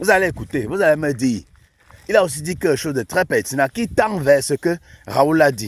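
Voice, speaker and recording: Animated man with a fairly high pitch, very wide pitch swings and a moderate pace. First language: not French (African native language) (speaking French). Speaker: YouTube commentator. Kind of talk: casual commentary.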